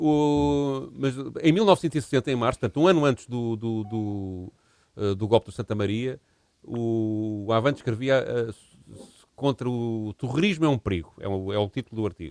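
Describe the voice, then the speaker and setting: A man's unremarkable speaking voice at medium pitch and moderate pace, dry and close with no echo, with big swings in loudness. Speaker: history podcast co-host. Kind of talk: casual chat.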